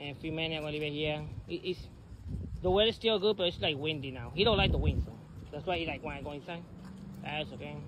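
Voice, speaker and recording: A man with an American accent speaks at a very fast pace yet with long, frequent pauses and ordinary pitch variation. The sound is dry with no echo, but background noise is noticeable. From New York City (South Bronx). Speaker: vlogger and former local election candidate. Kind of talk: casual vlog monologue. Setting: outdoors. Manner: halting, with many repetitions and fillers. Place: street. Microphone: phone near.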